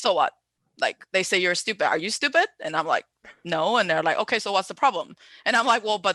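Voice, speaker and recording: In a Chinese accent, a woman speaks at medium pitch with very wide pitch swings and a bright, sharp tone, the sound dry and close with no echo against a quiet background. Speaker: event host. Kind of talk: live-stream panel moderation. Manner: hesitant, filler-heavy.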